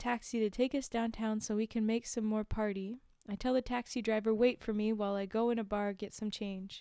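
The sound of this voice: Fairly even intonation runs through an unforced reading voice.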